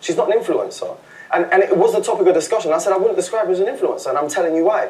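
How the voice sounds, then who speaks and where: A man with a London accent, animated in tone, at a very fast pace over noticeable background noise. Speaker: reality TV contestant. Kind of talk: heated argument. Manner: loud.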